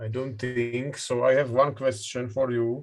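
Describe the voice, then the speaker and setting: With a Czech accent, a man talks at a medium pitch in a monotone, flat intonation. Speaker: session chair, professor. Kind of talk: conference moderation. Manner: halting.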